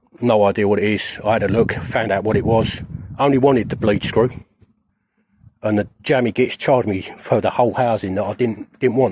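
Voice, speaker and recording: With a British accent, a man talks at a fairly quick pace in a fairly low pitch and fairly even intonation. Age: 50s. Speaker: van life vlogger. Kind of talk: casual vlog monologue. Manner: halting, repeats words.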